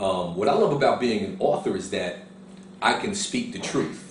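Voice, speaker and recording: A man with a New York accent at a medium pitch and moderate pace, with audible room echo and noticeable background noise. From Harlem, New York. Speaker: author. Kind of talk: interview answers on camera.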